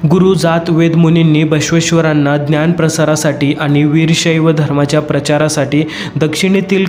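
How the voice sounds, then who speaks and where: With music in the background, a man speaks at a fairly high pitch in monotone, flat intonation. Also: very even loudness. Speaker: voice-over artist. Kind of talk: history narration.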